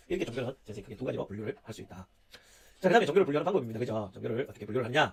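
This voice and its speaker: The voice is somewhat breathy, with lively intonation and a very fast pace. Its loudness swings widely. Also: man. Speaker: university lecturer. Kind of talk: online lecture. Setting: recorded video lecture. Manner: many filler sounds.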